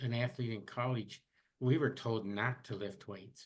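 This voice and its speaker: In a normal speaking voice, a man talks at a fairly slow pace with ordinary pitch variation. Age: 60s. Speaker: podcast host, retired professor. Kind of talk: casual interview chat.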